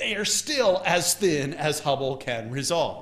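Here a man delivers his words at a moderate pace. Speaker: astronomy lecturer. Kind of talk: lecture. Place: hall.

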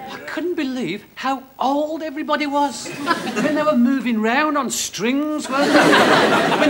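A man talks at an extremely high pitch with ordinary pitch variation. Loud background noise runs behind him. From Birmingham, England. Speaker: stand-up comedian. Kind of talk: stand-up comedy routine to a live audience. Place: stage.

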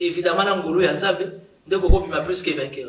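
A man with a Congolese accent speaks at a fairly slow pace in a high pitch. Audible room echo surrounds his voice. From DR Congo. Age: young. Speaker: youth political leader. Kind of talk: talk-show interview. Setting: studio. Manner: humorous. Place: home room.

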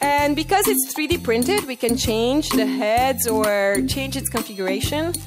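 Faint music plays behind a woman speaking at a fairly slow pace, her fairly high voice moving with lively intonation.

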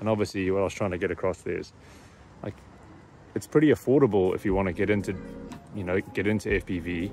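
Music in the background, with a dry sound and no echo. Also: man. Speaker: drone hobbyist vlogger. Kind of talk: casual vlog chat. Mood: happy, upbeat. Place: open country. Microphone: phone near.

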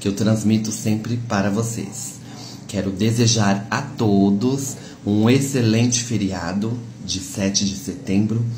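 A man with a fairly low pitch speaks at a very slow pace over light background noise. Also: fairly even intonation. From Brazil. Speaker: social media livestreamer; content creator. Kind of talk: casual vlog address to followers. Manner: warm, chatty. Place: kitchen. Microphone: phone near.

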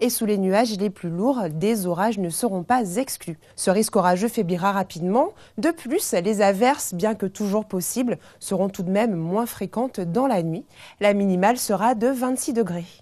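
A woman at a medium pitch, dark and mellow in tone, at a fairly slow pace with ordinary pitch variation against a quiet background. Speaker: TV weather presenter. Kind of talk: scripted television weather bulletin, read to camera. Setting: TV studio. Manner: smooth, even-paced and formal; warm, welcoming sign-on and sign-off. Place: studio.

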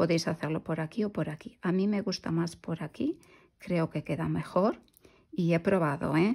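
On a very clean recording with a silent background, a woman's fairly low, somewhat breathy voice carries a dark, mellow tone and ordinary pitch variation. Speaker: crochet youtuber. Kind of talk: tutorial. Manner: slow.

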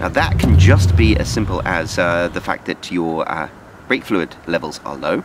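Noticeable background noise sits behind a man's voice. The sound is dry, with no echo. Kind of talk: tutorial. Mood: wry, humorous. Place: street. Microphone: phone near.

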